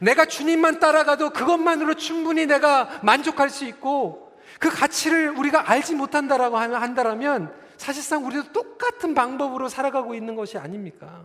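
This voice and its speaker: This man's voice sits extremely high for a man, moving at a moderate pace with ordinary pitch variation. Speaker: pastor. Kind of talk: sermon. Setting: church. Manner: calm, measured.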